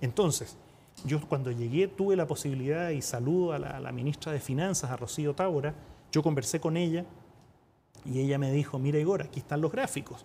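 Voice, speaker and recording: With a Chilean accent, a man talks at a fairly quick pace in a fairly high, somewhat breathy voice with a dark, mellow tone, ordinary pitch variation and light background noise. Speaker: UN diplomat and economist; guest. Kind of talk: TV interview. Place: studio. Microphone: lapel.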